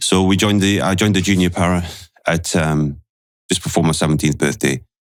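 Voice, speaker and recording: Speaking at a fairly quick pace with a Geordie accent, a man keeps a very deep, low pitch, fairly even intonation and very even loudness. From northeast England, Newcastle. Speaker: retired special forces soldier. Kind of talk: podcast interview.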